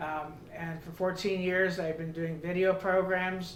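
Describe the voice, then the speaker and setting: Noticeable background noise and audible room echo surround a man speaking at a moderate pace. His high voice has a monotone, flat intonation. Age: 70s. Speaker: customer giving product testimonial. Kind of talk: testimony. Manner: halting, many fillers.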